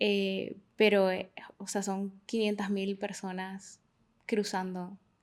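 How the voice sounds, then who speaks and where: Very slowly, a woman speaks in a Honduran accent. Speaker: migration researcher. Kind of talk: interview. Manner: hesitant, many fillers.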